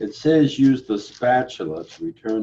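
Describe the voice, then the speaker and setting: A man speaks quietly at a medium pitch, with a dark, mellow tone and ordinary pitch variation. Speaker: pharmacy instructor. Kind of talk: lab demonstration tutorial. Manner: quiet, low-volume; casual, self-correcting.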